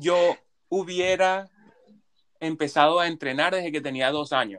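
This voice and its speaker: A man's voice sits high in pitch. The sound is close and dry, without any echo. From Venezuela. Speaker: podcast co-host. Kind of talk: casual chat.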